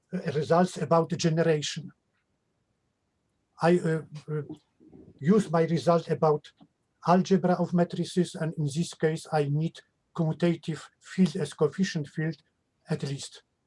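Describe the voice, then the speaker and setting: With a Polish accent, a man talks at a moderate pace in a high pitch and a dark, mellow tone. His intonation is monotone and flat, with long, frequent pauses. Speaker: mathematician. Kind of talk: question and answer after a lecture. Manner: halting.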